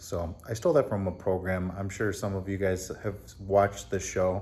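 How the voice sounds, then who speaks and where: Quiet and at a moderate pace, a man talks in a fairly low voice with a dark, mellow tone. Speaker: car DIY youtuber. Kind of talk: casual vlog recap. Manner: quiet, subdued.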